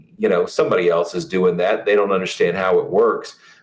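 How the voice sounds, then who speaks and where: A man talks with an American accent and vocal fry. His pitch swings very widely. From US South, south Florida. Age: 50s. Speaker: nonprofit fundraiser. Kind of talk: casual chat.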